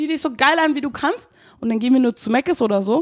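A woman talks at a fairly quick pace. Her tone is animated and her intonation lively. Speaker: podcast co-host. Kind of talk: casual chat. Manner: fast.

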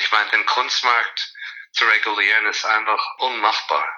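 A man at a fairly slow pace. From USA, born in Zurich. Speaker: art fair director. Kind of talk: interview.

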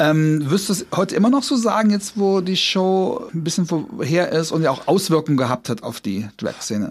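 A man's high voice makes very wide pitch swings. He keeps a moderate pace with hardly any pauses. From Trier, western Germany. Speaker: podcast host. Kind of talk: casual chat; scripted narration.

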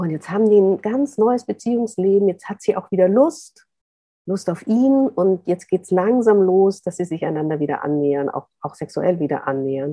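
A woman talks in an unremarkable speaking voice at a medium pitch. Her pace is moderate and her intonation lively. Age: 40s. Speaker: author and journalist. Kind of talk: interview. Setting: video call.

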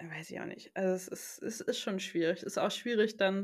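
At a very fast pace, a woman speaks in a medium pitch with fairly even intonation, in a very clean recording with a silent background. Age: 20s. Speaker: new mother. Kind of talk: casual chat.

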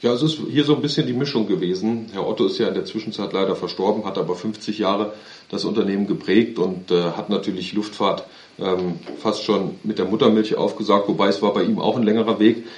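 In a normal speaking voice, the man moves at a fairly quick pace, his pitch fairly low with ordinary variation. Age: 30s. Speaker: aviation company executive. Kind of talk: interview.

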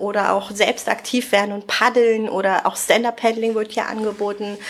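A woman at a moderate pace, fairly high in pitch, with monotone, flat intonation over music in the background. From Spreewald, eastern Germany (Brandenburg). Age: 30s. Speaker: wedding planner. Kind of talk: casual interview. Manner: frequent laughter.

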